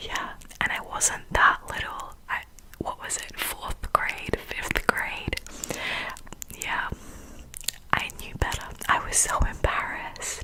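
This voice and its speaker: The voice whispers at a very slow pace, with long, frequent pauses. Noticeable background noise runs underneath. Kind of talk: ASMR whispering. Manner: whispered, soft-spoken.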